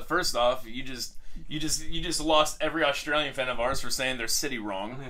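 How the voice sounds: A man with an American accent, medium in pitch, at a fairly quick pace amid noticeable background noise. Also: ordinary pitch variation.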